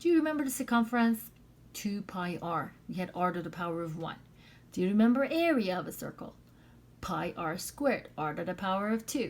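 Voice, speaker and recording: The speech runs at a fairly quick pace with very wide pitch swings. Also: woman, medium pitch for a woman. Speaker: math teacher. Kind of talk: lecture. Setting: recorded video lesson.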